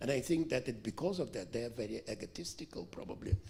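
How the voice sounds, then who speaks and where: Speaking at a moderate pace in a strong Russian accent, a man uses vocal fry and very wide pitch swings. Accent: heavy Russian. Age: 70s. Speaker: author. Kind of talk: Q&A answer at book event. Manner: halting.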